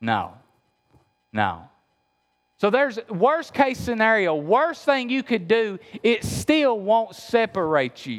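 This man has a high pitch and lively intonation. He talks with an Appalachian accent. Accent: Appalachian Kentucky. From Appalachia, Kentucky. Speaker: pastor. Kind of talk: sermon. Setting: church.

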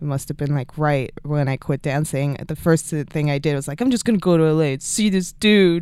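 A woman with a Swedish accent, very deep, low pitch, ordinary pitch variation and a moderate pace, on a very clean recording with a silent background. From Sweden. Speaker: music video director. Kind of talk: interview.

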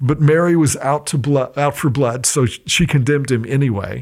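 The speaker is a man. His pitch sits fairly high. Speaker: pastor and professor. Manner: solemn, dramatic, measured storytelling; earnest, teacherly.

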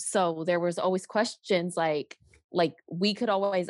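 A plain, everyday voice at a fairly slow pace, with fairly even intonation, a quiet background and a dry, close sound with no echo. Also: woman. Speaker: church podcast co-host. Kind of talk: casual chat.

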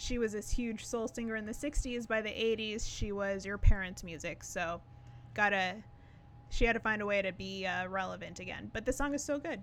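Using a plain, everyday voice, a woman speaks at a medium pitch and moderate pace with ordinary pitch variation. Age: 30s. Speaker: music podcast co-host. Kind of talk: casual chat.

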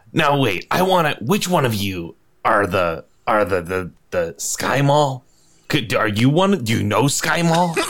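A man does a put-on character voice with a fairly high pitch and very wide pitch swings. He goes at a fairly slow pace with long, frequent pauses. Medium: actual play. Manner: curt, grumpy.

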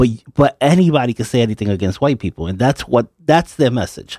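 In a very clean recording with a silent background, a man with a normal speaking voice talks at a fairly quick pace, his medium pitch carrying lively intonation. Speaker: station manager and producer. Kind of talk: casual chat.

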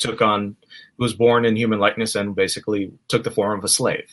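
Against a quiet background, a man talks at a very fast pace in a bright, sharp tone. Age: 30s. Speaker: pastor and New Testament scholar. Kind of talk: theological discussion.

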